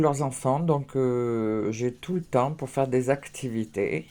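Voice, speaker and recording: Very slow and in a dark, mellow tone, a woman speaks on a very clean recording with a silent background. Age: 60s. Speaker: craft vlogger. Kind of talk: casual vlog. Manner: hesitant, many fillers.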